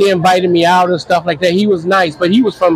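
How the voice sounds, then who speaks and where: Over noticeable background noise, a man with an American accent talks at a fairly quick pace in a high pitch with ordinary pitch variation. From US Midwest, Cleveland, Ohio. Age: 60s. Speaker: traveler, former mental health worker. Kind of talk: casual interview. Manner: halting.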